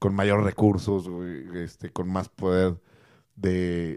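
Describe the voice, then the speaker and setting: Recorded very cleanly against a silent background, a man's dark, mellow tone sounds dry and close with no echo. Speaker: MMA podcast co-host. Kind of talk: casual chat. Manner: animated.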